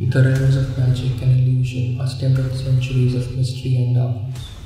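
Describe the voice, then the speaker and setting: Music plays in the background. A man talks at a moderate pace and a medium pitch. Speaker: podcast narrator. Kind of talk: horror podcast trailer narration.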